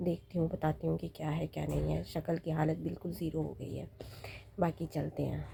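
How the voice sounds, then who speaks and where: A woman with a somewhat breathy, dark, mellow voice speaks at a very deep, low pitch with very wide pitch swings. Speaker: vlogger. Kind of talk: casual vlog.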